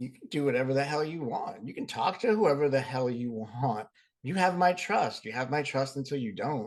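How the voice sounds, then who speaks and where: A man with an American accent speaks at a moderate pace. His pitch is fairly high and his intonation lively. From Boston area. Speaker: podcast co-host. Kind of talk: casual chat.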